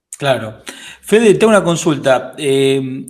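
A man's voice at medium pitch against noticeable background noise. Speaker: podcast host. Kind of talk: interview.

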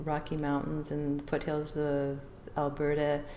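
A woman with a very deep, low pitch at a fairly slow pace, amid noticeable background noise and audible room echo. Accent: Canadian. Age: 60s. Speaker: visual artist and author. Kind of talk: interview.

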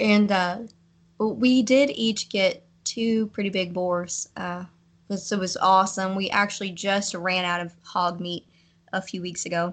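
A woman with a Kentucky accent, fairly slow in pace and fairly even in intonation. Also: medium pitch for a woman. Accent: Kentucky Southern US. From US South, western Kentucky. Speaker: hunter. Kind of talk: casual interview.

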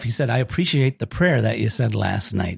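The recording is very clean, with a silent background. A man speaks at medium pitch, somewhat breathy. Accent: Upper Midwest. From Minnesota. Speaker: executive director of a camp ministry. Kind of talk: casual interview.

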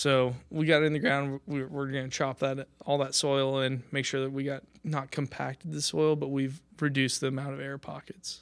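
Hardly pausing at all, a man with a fairly high pitch talks at a moderate pace in a monotone, flat intonation on a very clean recording with a silent background. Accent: American. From Kansas. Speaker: nursery grower. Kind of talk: informal presentation.

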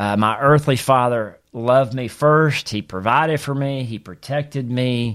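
A man talks with a Southern US accent at a moderate pace. His pitch is medium, with ordinary variation. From US South, Mississippi. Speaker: pastor. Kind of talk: teaching podcast monologue.

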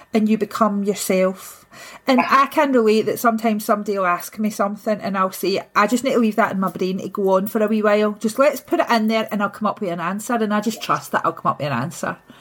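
A fairly high-pitched, somewhat breathy woman's voice with a Scottish accent, at a fairly quick pace. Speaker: podcast host. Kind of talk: interview conversation.

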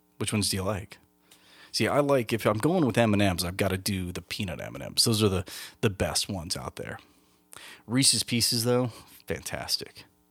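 Over music in the background, a man with a fairly low pitch talks at a fairly quick pace, with ordinary pitch variation and long, frequent pauses. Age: 40s. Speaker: podcast host. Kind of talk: casual solo monologue. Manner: halting, many fillers and repeats.

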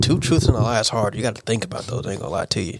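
Noticeable background noise sits behind a man talking very fast at medium pitch with ordinary pitch variation. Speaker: guest. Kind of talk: casual chat.

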